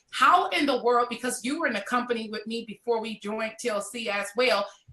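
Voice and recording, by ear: A woman speaks at a fairly quick pace and a fairly high pitch, with ordinary pitch variation and a bright, sharp tone.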